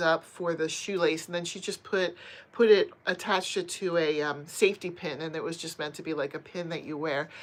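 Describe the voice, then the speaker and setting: A woman speaks in a plain, everyday voice at a fairly low pitch and a moderate pace. Her intonation is fairly even, but her loudness swings widely. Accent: American. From US, Pennsylvania. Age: 50s. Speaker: crochet and knitting youtuber. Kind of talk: casual live stream chat reading viewer comments. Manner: chatty, conversational.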